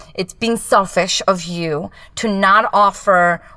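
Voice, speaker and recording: This woman's voice has a medium pitch, ordinary pitch variation and a bright, sharp tone. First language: Japanese. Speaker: business coach. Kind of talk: casual chat. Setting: home closet recording.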